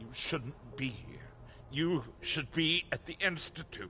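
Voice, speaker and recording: A man puts on a character voice, fairly high in pitch. He talks fairly slowly over clear background noise. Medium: video game. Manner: curt, commanding.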